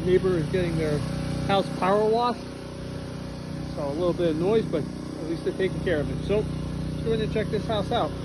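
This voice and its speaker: Over loud background noise, a man talks at a fairly quick pace with ordinary pitch variation. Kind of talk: property tour narration. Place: street. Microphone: phone near.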